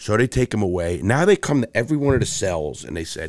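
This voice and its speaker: A man with a New York accent talks at a very fast pace with lively intonation. The recording is very clean, with a silent background. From New York City (Bronx, Brooklyn). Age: 60s. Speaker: ex-convict turned motivational speaker. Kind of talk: casual interview chat.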